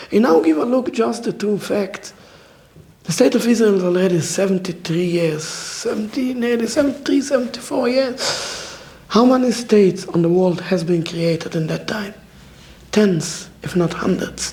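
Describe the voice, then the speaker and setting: With noticeable background noise behind him, a man talks at a moderate pace in a high pitch with lively intonation. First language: not English. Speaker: orthodox rabbi. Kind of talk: public talk at a community dialogue event. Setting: community event with live audience. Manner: halting, broken English phrasing.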